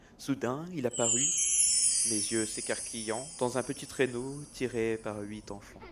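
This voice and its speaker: Music plays in the background as a man talks at a very slow pace, with hardly any pauses. His pitch sits at a medium level with ordinary variation. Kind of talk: bedtime story reading aloud, a rhymed Christmas poem. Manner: gentle, storyteller's rhythm, patient with interruptions.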